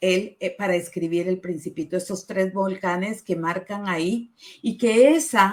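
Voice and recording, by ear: A woman talks at a fairly slow pace, her pitch medium and her pitch variation ordinary.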